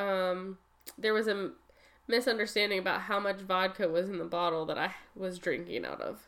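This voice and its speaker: A woman with an ordinary speaking voice, medium pitch, fairly even intonation, and a moderate pace. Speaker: podcast co-host. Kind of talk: casual chat, joking. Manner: playful, laughing.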